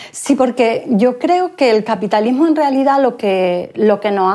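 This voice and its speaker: A woman's dark, mellow voice with lively intonation at a fairly slow pace. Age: 50s. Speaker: author and gender equality consultant. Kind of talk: interview.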